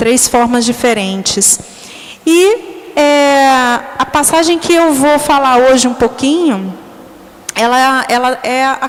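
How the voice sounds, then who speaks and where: Very slow delivery with ordinary pitch variation over noticeable background noise. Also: woman. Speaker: catechist. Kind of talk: bible study talk. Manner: halting.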